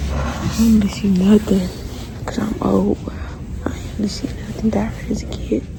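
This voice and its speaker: A woman is whispering. There is audible room echo and noticeable background noise. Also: moderate pace. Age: 20s. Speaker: vlogger. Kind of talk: casual vlog. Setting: outdoors walking; library.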